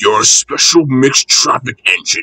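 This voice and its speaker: Using a put-on character voice, a man growls his lines at a moderate pace. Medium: read story.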